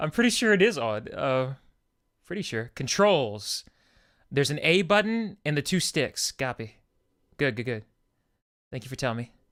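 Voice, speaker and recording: A man speaks loudly at a fairly high pitch with very wide pitch swings. Long, frequent pauses mark his speech on a very clean recording with a silent background. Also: moderate pace. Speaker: game streamer. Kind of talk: live gameplay commentary.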